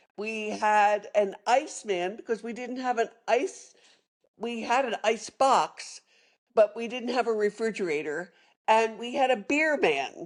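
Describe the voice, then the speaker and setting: Against a quiet background, a woman with a fairly high voice speaks fairly slowly with lively intonation. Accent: Philadelphia. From Philadelphia area, Pennsylvania (Norristown). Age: 70s. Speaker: retired sommelier and storyteller. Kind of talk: interview storytelling. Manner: hesitant with fillers and self-corrections.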